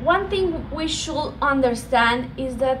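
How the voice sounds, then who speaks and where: A woman with a Colombian accent and a high pitch speaks at a fairly slow pace with ordinary pitch variation, amid audible room echo and noticeable background noise. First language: Spanish. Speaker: speaker on women's empowerment. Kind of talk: presentation talk. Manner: halting, many fillers.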